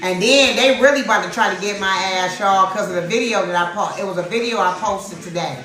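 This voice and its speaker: A woman's medium-pitched, animated voice with ordinary pitch variation, with audible room echo and noticeable background noise. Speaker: tarot reader. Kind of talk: livestream tarot reading chat. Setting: livestream. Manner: loud.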